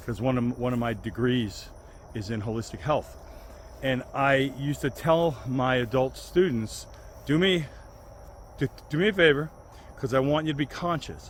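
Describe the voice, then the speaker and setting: A man speaks at a moderate pace and medium pitch, with ordinary pitch variation and long, frequent pauses. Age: 60s. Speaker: health vlogger. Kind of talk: casual video monologue. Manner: halting, many restarts.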